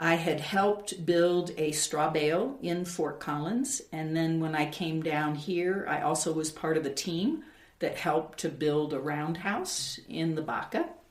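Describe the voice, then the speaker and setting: A woman with a fairly low pitch and ordinary pitch variation talks at a fairly slow pace with hardly any pauses, amid audible room echo and noticeable background noise. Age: 60s. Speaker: builder and artist. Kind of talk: interview testimony.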